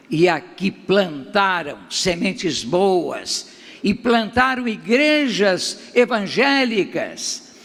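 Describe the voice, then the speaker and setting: Speaking at a very slow pace over noticeable background noise, a man uses a high pitch and lively intonation. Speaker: pastor. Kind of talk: sermon.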